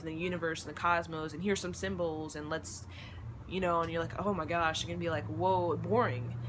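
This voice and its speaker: A woman talks at a fairly quick pace in a very deep, low pitch. Audible room echo fills the recording. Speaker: spiritual vlogger. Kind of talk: monologue to camera. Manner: fast.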